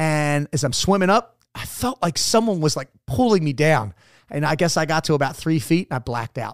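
In a dry, close recording with no echo and a silent, very clean background, a man talks at a fairly quick pace in a fairly high voice with lively intonation, an ordinary speaking voice. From Maryland (Dundalk, Baltimore area). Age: 40s. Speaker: Navy SEAL veteran. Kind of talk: casual interview. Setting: studio.

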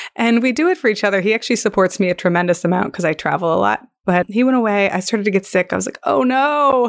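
A woman speaks very fast at a medium pitch with ordinary pitch variation. The recording is very clean and dry, close with no echo, against a silent background. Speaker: yoga teacher and podcast host. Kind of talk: casual chat.

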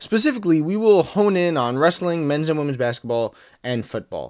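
Speaking with lively intonation at a moderate pace, a man uses a plain, everyday voice in a very clean recording, silent background. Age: 20s. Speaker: podcast host. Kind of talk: casual sports discussion.

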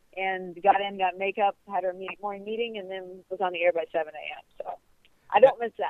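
A plain, everyday voice at a fairly quick pace, with fairly even intonation and big swings in loudness. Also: woman, medium pitch for a woman. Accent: American. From US Midwest (Ohio). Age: 20s. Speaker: golf broadcaster. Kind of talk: interview. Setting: phone call.

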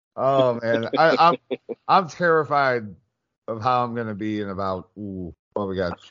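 Speaking at a fairly slow pace, a man has a medium-pitched voice with a fairly bright tone and ordinary pitch variation.

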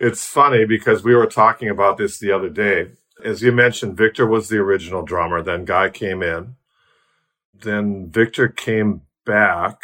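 A man speaks at a fairly low pitch with a bright, sharp tone. His intonation stays fairly even against a quiet background. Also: moderate pace. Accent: American. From US Midwest, Milwaukee, Wisconsin. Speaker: rock bass player. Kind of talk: casual interview.

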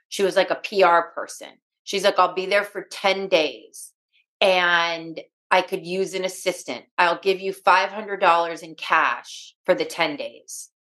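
Very slowly, a woman speaks with a Californian accent at a medium pitch. Her tone is bright and sharp, with big swings in loudness. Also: fairly even intonation. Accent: Californian American. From Los Angeles, US. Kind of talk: interview.

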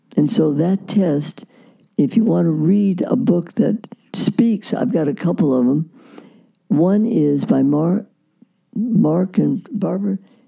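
A woman with an American accent and a fairly low pitch speaks at a very slow pace with long, frequent pauses, lively intonation, vocal fry and very even loudness. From Iowa, US Midwest. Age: 80s+. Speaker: relationship therapist and author. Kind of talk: casual interview. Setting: in person, recorded and shown on social media.

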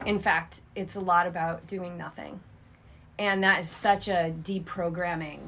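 A woman talks at a fairly slow pace with a fairly low pitch and a bright, sharp tone. Her intonation is monotone and flat, though her loudness swings widely. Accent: American. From New England (Cape Cod, Massachusetts). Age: 40s. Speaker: yoga teacher and triathlon coach. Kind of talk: casual interview conversation.

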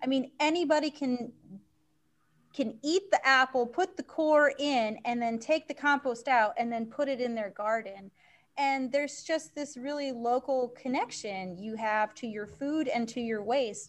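Her voice is high-pitched, with ordinary pitch variation. The woman speaks at a fairly slow pace. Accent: American. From Maine, US Northeast. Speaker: community compost business owner. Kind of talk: interview.

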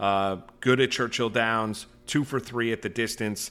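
A man speaks with a bright, sharp tone. He has an American accent. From New York. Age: 40s. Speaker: horse racing podcast host. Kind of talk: casual betting chat.

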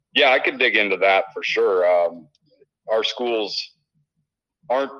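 The speaker has a Midwestern US accent. The pace is moderate. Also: man. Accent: US Midwest. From Illinois. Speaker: sports director and high school football analyst. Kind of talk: sports preview breakdown.

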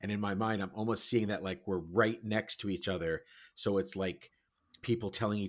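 Reading aloud in a natural voice, fairly even intonation, over a quiet background.

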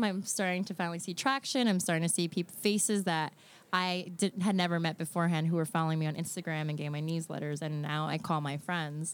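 In an ordinary speaking voice, a woman with a fairly low pitch talks at a fairly quick pace, on a very clean recording with a silent background. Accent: American. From Brooklyn, New York City. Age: 30s. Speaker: event organizer and food blogger. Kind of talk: casual chat.

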